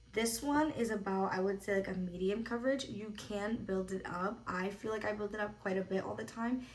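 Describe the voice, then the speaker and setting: A woman speaks at a fairly quick pace with a medium pitch and fairly even intonation. Audible room echo and noticeable background noise surround her. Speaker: makeup artist. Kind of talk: tutorial. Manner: casual, filler-heavy.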